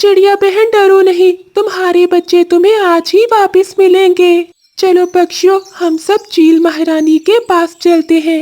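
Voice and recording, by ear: In a cartoonish character voice, a woman speaks at an extremely high pitch, fairly slowly, in monotone, flat intonation with very even loudness.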